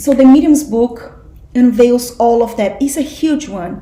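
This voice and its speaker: A woman speaks at a very slow pace with a high pitch and ordinary pitch variation. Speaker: spiritual study group teacher. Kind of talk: class lecture.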